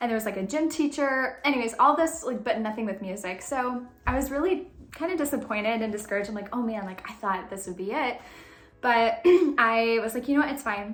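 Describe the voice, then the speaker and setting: In a room with audible echo, a woman speaks at a fairly high pitch with lively intonation. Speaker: faith and lifestyle vlogger. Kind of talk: casual storytelling vlog. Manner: fast; animated.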